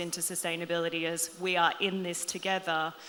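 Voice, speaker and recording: In an Australian accent, a woman speaks at a fairly low pitch with a bright, sharp tone and monotone, flat intonation. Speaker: panelist, loyalty program marketing executive. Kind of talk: panel discussion.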